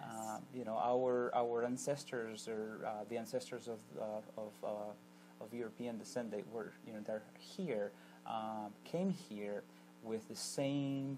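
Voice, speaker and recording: A man with a medium pitch talks at a very slow pace, his intonation fairly even. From Argentina. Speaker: immigration attorney. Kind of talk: TV interview. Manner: hesitant, many fillers and repetitions.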